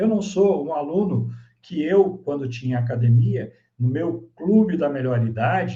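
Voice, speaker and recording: The voice moves at a fairly slow pace, with a dark, mellow tone and a somewhat breathy quality. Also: man, fairly high pitch for a man. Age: 60s. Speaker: business consultant and speaker. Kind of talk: online masterclass presentation.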